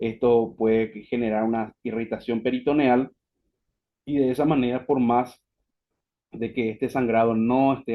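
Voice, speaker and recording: At a fairly slow pace, a man with a Paraguayan accent speaks at medium pitch with fairly even intonation. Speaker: physician, webinar speaker. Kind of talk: lecture. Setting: online webinar.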